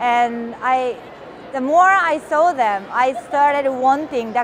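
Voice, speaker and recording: Over noticeable background noise, a woman with a Japanese accent speaks in a high pitch with ordinary pitch variation. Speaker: missionary. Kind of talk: testimony.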